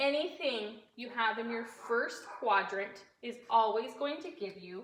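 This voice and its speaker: A woman speaks very slowly at a fairly high pitch, her tone bright and sharp. Her intonation is lively, with audible room echo. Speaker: fifth-grade teacher. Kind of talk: recorded math lesson for pupils.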